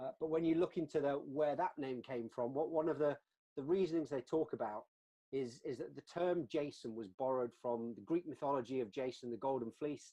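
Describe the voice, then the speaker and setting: This man has a British accent, a dark, mellow tone, and a fairly high pitch, with ordinary pitch variation at a fairly quick pace. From UK. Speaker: customer success executive, webinar co-host. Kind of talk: webinar discussion. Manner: halting, many repeated words.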